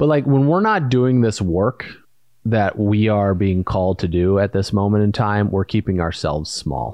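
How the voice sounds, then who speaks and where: A man with an American accent and an ordinary speaking voice, fairly low in pitch, at a moderate pace, with ordinary pitch variation and very even loudness. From US Midwest, Indiana. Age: 30s. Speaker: podcast co-host and entrepreneur. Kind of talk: casual chat.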